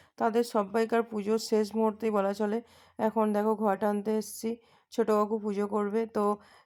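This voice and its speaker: The woman's pitch is fairly high. Her intonation is flat and monotone. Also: very even loudness. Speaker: lifestyle vlogger. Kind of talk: casual vlog narration.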